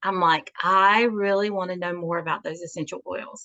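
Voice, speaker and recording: Here is a woman with a Southern US accent. Her tone is bright and sharp. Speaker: natural health practitioner. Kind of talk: interview.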